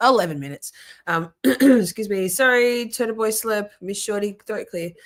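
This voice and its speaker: In a very clean recording with a silent background, a woman with an Australian accent speaks with lively intonation. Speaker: live streamer. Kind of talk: casual chat. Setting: live stream.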